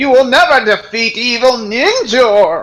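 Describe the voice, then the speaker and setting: Speaking fairly slowly, a man adopts a put-on character voice pitched extremely high. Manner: snidely menacing.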